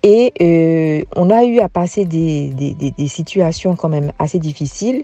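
A woman's tone is dark and mellow. She speaks at a fairly slow pace with lively intonation. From Guadeloupe, Basse-Terre area. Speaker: former teacher turned farmer. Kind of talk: interview, personal life story.

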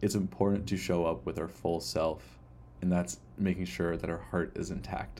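The voice has a dark, mellow tone with vocal fry and ordinary pitch variation. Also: man, very deep, low pitch for a man, moderate pace. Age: 20s. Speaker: podcast host. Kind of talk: personal reflective monologue.

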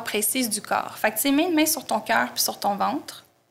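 With a Quebec accent, a woman speaks at a moderate pace with ordinary pitch variation. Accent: Québécois French. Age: 30s. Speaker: tarot and astrology teacher. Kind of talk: interview.

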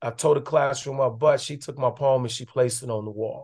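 Against a quiet background, a man's somewhat breathy voice holds a fairly high pitch with fairly even intonation. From Chicago, West Side. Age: 50s. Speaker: poet and educator. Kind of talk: casual interview.

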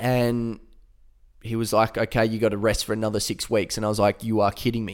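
A man speaks with an Australian accent in a medium pitch and a monotone, flat intonation. The recording is very clean, with a silent background. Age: 20s. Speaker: former footballer, podcast host. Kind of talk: personal storytelling monologue. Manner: casual, conversational.

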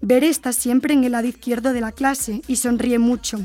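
Woman's high-pitched voice, fairly even intonation, moderate pace. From Spain. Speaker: university lecturer and podcast host. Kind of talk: podcast discussion with students.

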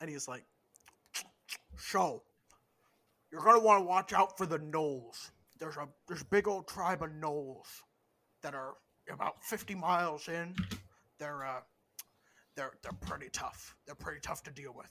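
Putting on a character voice, a man speaks at a fairly high pitch and moderate pace, broken by long, frequent pauses. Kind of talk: game master voicing an NPC. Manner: casual, chatty, mouth full while eating.

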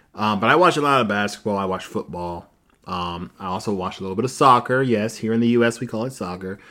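On a very clean recording with a silent background, a man talks very fast in a fairly low pitch with a bright, sharp tone and ordinary pitch variation. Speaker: podcast host. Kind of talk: casual chat, reading Reddit stories. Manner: joking, casual.

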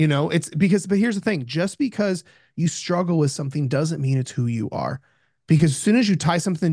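Against a quiet background, a man talks at a very fast pace in an animated tone, using a fairly high pitch and ordinary pitch variation. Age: 30s. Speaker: nutrition and mindset coach. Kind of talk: casual interview chat.

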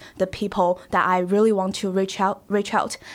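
A woman speaks with a Chinese accent at a moderate pace. Her pitch is medium. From China, Shanghai. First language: Mandarin Chinese. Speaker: college student. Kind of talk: casual interview. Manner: halting.

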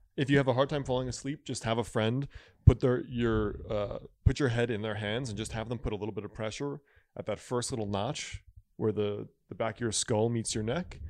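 A man talks at a fairly quick pace in a plain, everyday voice, his pitch medium with ordinary variation. The background is quiet. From Connecticut, Stamford area. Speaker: traditional Chinese medicine doctor and author. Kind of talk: casual chat.

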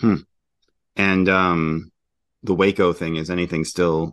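The background is quiet as a man speaks at a fairly slow pace. His pitch is very deep and low. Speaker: podcast host. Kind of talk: interview conversation. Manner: casual, hesitant with fillers.

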